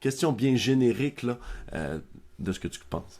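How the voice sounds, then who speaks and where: In a Quebec accent, the speaker talks at a fairly slow pace with lively intonation, on a very clean recording with a silent background. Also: man. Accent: Québécois French. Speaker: podcast host, software founder. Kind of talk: podcast interview. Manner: many fillers.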